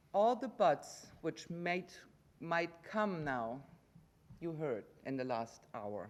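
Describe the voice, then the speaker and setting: A woman talks with a German accent. Her pace is fairly slow. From Germany. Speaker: resident giving public comment. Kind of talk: public comment at council meeting. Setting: council chamber.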